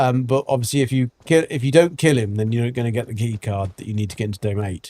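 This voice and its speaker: At a medium pitch, a man speaks in a dark, mellow tone. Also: dry, close sound with no echo. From England. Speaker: gaming streamer. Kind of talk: live gameplay commentary.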